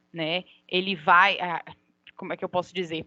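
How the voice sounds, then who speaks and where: A woman's medium-pitched voice, bright and sharp in tone, with fairly even intonation, a dry, close sound with no echo and a quiet background. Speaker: law lecturer. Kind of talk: lecture. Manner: halting.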